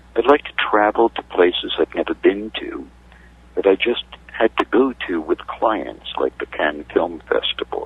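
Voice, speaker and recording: A man with an American accent at a moderate pace, amid noticeable background noise. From New York City. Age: 60s. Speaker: media consultant. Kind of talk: interview. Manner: halting.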